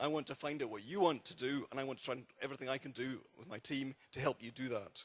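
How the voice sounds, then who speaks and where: With a Scottish accent, a man speaks at a fairly quick pace. His pitch is fairly high, with ordinary pitch variation. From Scotland. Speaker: architect. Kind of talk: public presentation.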